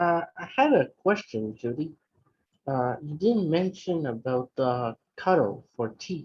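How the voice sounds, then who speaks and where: Words come at a very slow pace in a French accent. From France. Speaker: club member asking questions. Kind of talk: casual Q&A chat. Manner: hesitant.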